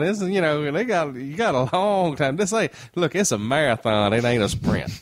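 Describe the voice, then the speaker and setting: A man's fairly high voice at a moderate pace, with very wide pitch swings. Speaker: country musician. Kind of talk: casual chat.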